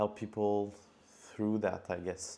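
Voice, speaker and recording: With a strong French accent, a man speaks in a dark, mellow tone at a fairly low pitch. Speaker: cold email marketer. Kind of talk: tutorial.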